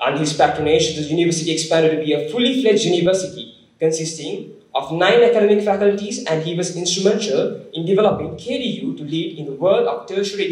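Audible room echo accompanies a man who talks at a fairly quick pace. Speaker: speaker. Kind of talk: formal speaker introduction. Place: hall. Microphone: podium.

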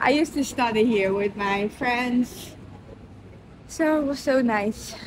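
Over light background noise, a woman talks very slowly in a high voice, the sound dry with no echo. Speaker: vlogger. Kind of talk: casual vlog chat. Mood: cheerful, nostalgic. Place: station. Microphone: phone near.

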